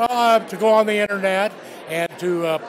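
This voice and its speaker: There is noticeable background noise as a man talks at a moderate pace. His pitch varies in an ordinary way. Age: 55+ (50s or older). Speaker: job seeker. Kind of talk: interview at event. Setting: job fair.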